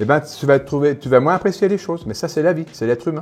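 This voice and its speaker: A man speaks in an animated tone with music in the background. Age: 60s. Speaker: winegrower. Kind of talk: casual interview during wine tasting.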